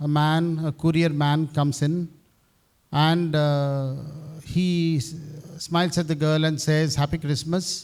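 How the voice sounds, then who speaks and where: A man speaks at a fairly slow pace in a fairly high pitch, his intonation monotone and flat, his loudness very even, with long, frequent pauses. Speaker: university head priest. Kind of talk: speech at event. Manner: halting.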